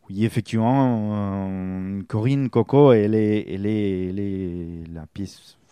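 Against a quiet background, a man with a slight Spanish accent speaks in a fairly low, dark, mellow tone, with ordinary pitch variation and big swings in loudness. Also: fairly slow pace. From Spain. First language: Spanish (speaking French). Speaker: campsite receptionist. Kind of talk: radio interview. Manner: halting.

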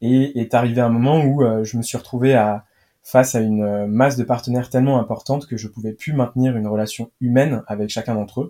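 A man with a dark, mellow tone is heard on a very clean recording against a silent background. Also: medium pitch for a man, fairly even intonation, fairly quick pace. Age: 20s. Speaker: startup cofounder. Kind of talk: interview.

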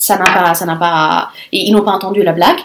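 Fairly slow speech from a woman. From Lebanon. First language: Arabic and Italian (speaking French). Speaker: conference interpreter. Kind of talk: interview. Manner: halting, many repetitions.

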